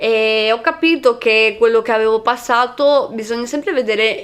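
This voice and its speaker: The recording is very clean, with a silent background. A woman with a fairly high voice speaks at a moderate pace with ordinary pitch variation. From Veneto, Venice province. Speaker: content creator. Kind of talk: podcast interview. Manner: halting.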